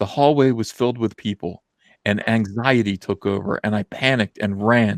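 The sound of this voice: The background stays quiet. An unforced reading voice carries ordinary pitch variation.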